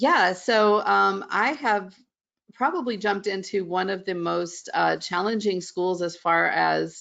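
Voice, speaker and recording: In a slight Southern US accent, a woman speaks at a fairly slow pace. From West Virginia. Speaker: middle school art teacher. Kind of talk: webinar interview.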